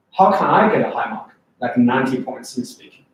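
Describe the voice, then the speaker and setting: A man with a strong Chinese accent speaks at a moderate pace, his pitch swinging very widely. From China. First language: Chinese (Mandarin). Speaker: English test prep teacher. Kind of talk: lecture. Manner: animated.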